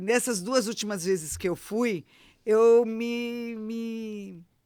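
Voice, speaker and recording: The tone is animated. Pitch varies in an ordinary way. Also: woman, very clean recording, silent background. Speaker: retired teacher and travel influencer. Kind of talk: casual chat.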